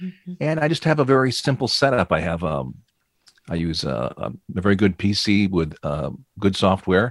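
Recorded very cleanly against a silent background, a man with a very deep, low pitch talks at a fairly slow pace in a dry, close sound with no echo. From US Midwest (Flint, Michigan). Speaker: voice-over narrator and radio DJ. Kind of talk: interview.

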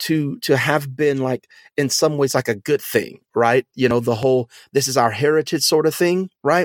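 A man in a normal speaking voice, medium in pitch with an American accent, dry and close with no echo. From US South, Louisiana. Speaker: pastor and podcast host. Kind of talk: casual discussion.

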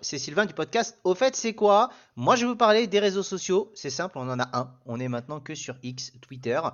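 A man's high voice at a moderate pace, with very wide pitch swings and big shifts in loudness. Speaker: podcast co-host. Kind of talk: casual chat.

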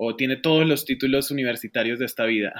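This man has a medium pitch. He talks with a Colombian accent. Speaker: economist and business consultant. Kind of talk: casual interview.

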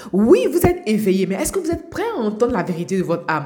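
There is noticeable background noise behind this woman. Her fairly high voice moves in very wide pitch swings. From Côte d'Ivoire, Abidjan. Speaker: life coach podcaster. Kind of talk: motivational monologue. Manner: halting, repeats words.

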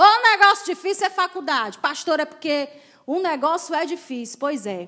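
A woman speaks at a fairly slow pace in an animated tone. Her voice sounds bright and sharp. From Ceará, Brazil (Crateús). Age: 40s. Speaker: pastor. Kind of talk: sermon.

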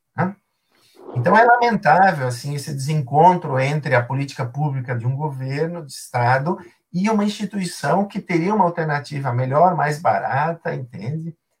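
Here is a man with an unremarkable speaking voice, fairly high in pitch, at a moderate pace. His intonation is lively and his loudness swings widely. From southern Brazil, Rio Grande do Sul. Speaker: philosophy and ethics professor. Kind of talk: interview on a live stream. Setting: live stream.

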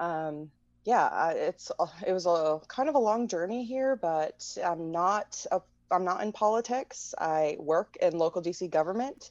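Dry and close with no echo, a woman's normal speaking voice at medium pitch moves at a fairly slow pace with lively intonation. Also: quiet background. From US Midwest. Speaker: activist. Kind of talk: interview.

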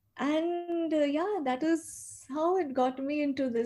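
Her pitch is high for a woman, with ordinary variation. The tone is dark and mellow. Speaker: life coach. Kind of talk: interview.

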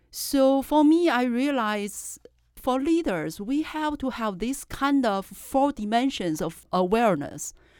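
At a very slow pace, a woman with a Chinese accent speaks at high pitch with very wide pitch swings. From China. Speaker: professor and journal editor. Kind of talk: casual interview chat.

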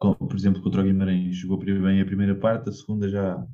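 In a European Portuguese accent, a man speaks at a moderate pace in a fairly low, dark and mellow voice. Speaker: football podcast co-host. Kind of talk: casual chat.

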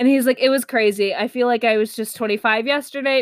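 With an American accent, a woman speaks at a fairly quick pace in a plain, everyday voice with ordinary pitch variation. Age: 20s. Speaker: podcast host. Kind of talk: casual monologue.

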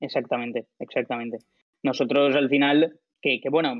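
A man talks at a medium pitch and a moderate pace. His intonation stays monotone and flat. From Alicante, Spain. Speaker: startup founder. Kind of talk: interview.

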